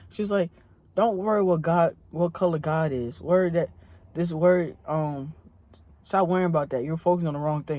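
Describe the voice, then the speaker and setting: An animated tone at a moderate pace. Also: man. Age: 20s. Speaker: young pastor and vlogger. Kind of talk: testimony. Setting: in a car. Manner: casual, animated.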